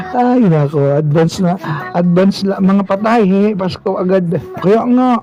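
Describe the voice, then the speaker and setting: Against background music, a man speaks fairly slowly in a high voice with ordinary pitch variation and very even loudness. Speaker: livestreamer. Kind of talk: casual livestream chat. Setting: live stream. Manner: animated.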